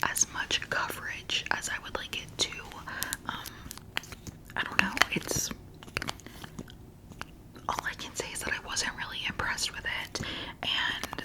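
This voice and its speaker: Noticeable background noise surrounds the recording. A woman is whispering at a fairly slow pace. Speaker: ASMR creator. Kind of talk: casual product review talk to camera.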